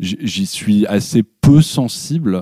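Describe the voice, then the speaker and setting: The sound is dry and close with no echo as a man with a fairly low pitch and dark, mellow tone speaks with lively intonation. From Paris. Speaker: musician. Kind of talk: interview. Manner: halting.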